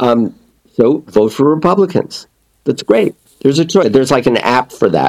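Fairly quick pace and lively intonation from a man with a normal speaking voice at medium pitch, in a dry, close sound with no echo. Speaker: author and communication coach. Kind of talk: casual interview chat.

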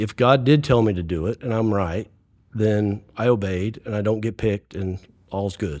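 In an ordinary speaking voice, a man talks with ordinary pitch variation. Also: fairly low pitch for a man, moderate pace, very clean recording, silent background. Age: 60s. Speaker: real estate developer. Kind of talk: casual chat.

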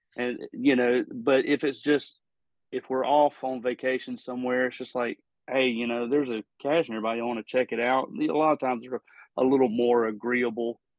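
A man with a slight Southern US accent speaks at a medium pitch and a fairly quick pace. His intonation is flat and monotone. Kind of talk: casual interview chat.

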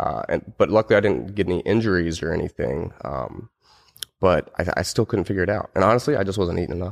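With an American accent and vocal fry, a man speaks at a very fast pace with a very deep, low pitch and lively intonation, in a dry, close sound with no echo and a very clean recording over a silent background. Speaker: personal trainer. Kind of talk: casual interview chat.

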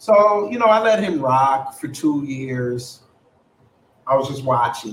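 With an American accent, a man talks at a very slow pace in a medium pitch. His voice is somewhat breathy and his pitch swings very widely. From New York. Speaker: podcast host. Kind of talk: casual political debate. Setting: live stream on camera.

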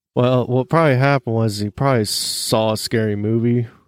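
A man speaks in a normal speaking voice at a moderate pace, his intonation fairly even and the sound dry and close with no echo. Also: very clean recording, silent background. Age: 30s. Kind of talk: casual chat.

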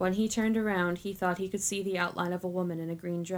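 Someone gives a plain reading aloud, intonation fairly even throughout.

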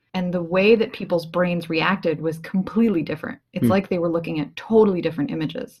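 A woman talks at a very fast pace with hardly any pauses, in a fairly low pitch with ordinary pitch variation. Her voice is somewhat breathy. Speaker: podcast co-host, psychology researcher.

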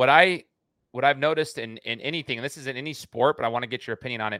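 A man's medium-pitched voice, bright and sharp in tone, at a very fast pace with ordinary pitch variation, on a very clean, dry, close recording with no echo and a silent background. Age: 30s. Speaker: podcast host. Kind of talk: casual interview chat.

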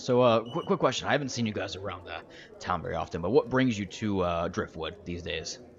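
A man puts on a raspy character voice with a fairly low pitch. He talks at a fairly quick pace over clear background noise. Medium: actual play. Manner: blunt, matter-of-fact.

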